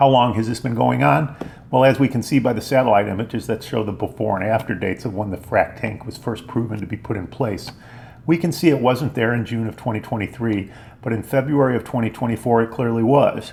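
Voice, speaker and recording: Over noticeable background noise, a man talks at a very fast pace with a medium pitch and ordinary pitch variation. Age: 60s. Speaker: local business owner and activist. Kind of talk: scripted narration.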